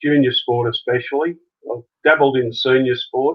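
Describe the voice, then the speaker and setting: A man speaks with an Australian accent. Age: 60s. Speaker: junior sports coach. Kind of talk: interview. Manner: halting.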